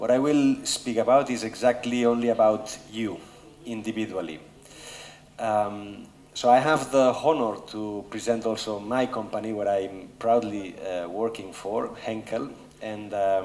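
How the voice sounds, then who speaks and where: A man with a Spanish accent talks at a medium pitch and a fairly slow pace. There is audible room echo. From Spain, Barcelona. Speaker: business executive. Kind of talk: conference talk. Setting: stage with audience. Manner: hesitant with fillers.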